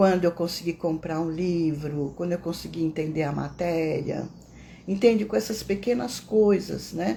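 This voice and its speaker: Soft-spoken and fairly low in pitch, a woman talks at a moderate pace with a dark, mellow tone and vocal fry. Her intonation is lively. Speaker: meditation teacher. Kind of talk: casual teaching talk; guided meditation.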